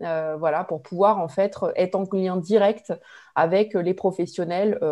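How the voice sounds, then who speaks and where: A woman speaks at a fairly slow pace with a dark, mellow tone and ordinary pitch variation against a quiet background. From Limoges, France; France. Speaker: regional tourism board manager; guest. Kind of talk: webinar talk about career path. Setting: video call. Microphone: earbuds.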